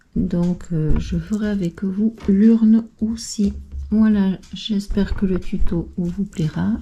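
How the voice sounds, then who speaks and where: A soft-spoken woman at a very slow pace, medium in pitch, with fairly even intonation over noticeable background noise. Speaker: craft YouTuber. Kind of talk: tutorial. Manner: hesitant, many fillers.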